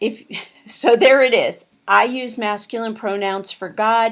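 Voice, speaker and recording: A woman with an American accent speaks at a fairly high pitch with fairly even intonation. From Pittsburgh, Pennsylvania, US. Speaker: course instructor. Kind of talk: course introduction lecture.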